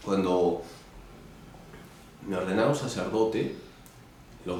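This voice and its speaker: At a moderate pace, a man speaks amid audible room echo and noticeable background noise. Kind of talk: interview. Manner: loud.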